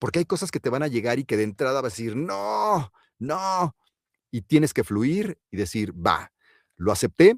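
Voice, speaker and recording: A man with a Mexican accent talks at a moderate pace and medium pitch, his voice swinging very widely in pitch, on a very clean recording with a silent background and a dry, close sound with no echo. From Mexico. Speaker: voice actor and announcer. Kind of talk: interview answer.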